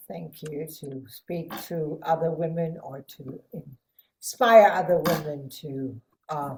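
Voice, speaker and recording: A woman speaks with a very deep, low pitch at a very slow pace. Her voice is somewhat breathy. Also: ordinary pitch variation, big swings in loudness. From Germany (Hanover). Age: 60s. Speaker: psychotherapist and healer. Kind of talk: podcast interview.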